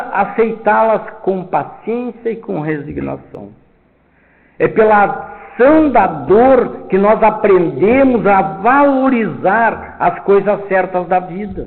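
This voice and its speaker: At a very slow pace, a man with a high voice and ordinary pitch variation speaks amid audible room echo. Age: 70s. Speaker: spiritist lecturer. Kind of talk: lecture. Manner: loud.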